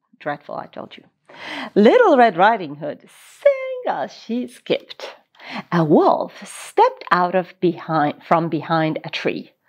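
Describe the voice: A woman speaks at a slow pace in a fairly low voice, her pitch swinging very widely.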